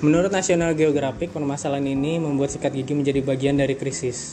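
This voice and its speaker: A man speaks very fast at fairly high pitch. His intonation is fairly even, and background noise is noticeable. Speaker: podcast host. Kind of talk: casual solo chat with reading of articles. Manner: casual, laughing often.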